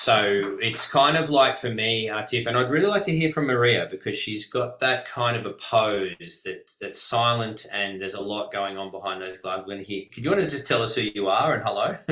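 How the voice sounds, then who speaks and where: Over noticeable background noise, a man with an Australian accent and medium pitch talks fairly quickly with lively intonation and hardly any pauses. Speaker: webinar host, business mentor. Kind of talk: casual group video call.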